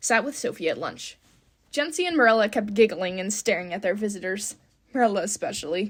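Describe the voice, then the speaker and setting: A woman's fairly high voice at a moderate pace, with very wide pitch swings. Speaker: aspiring voice actor. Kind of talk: audiobook reading. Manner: expressive.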